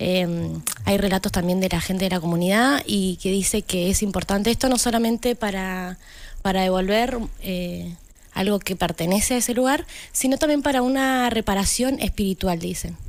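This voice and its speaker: In a very clean recording with a silent background, a woman speaks at a moderate pace with medium pitch and ordinary pitch variation in an unremarkable speaking voice. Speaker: community radio contributor. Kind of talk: casual chat.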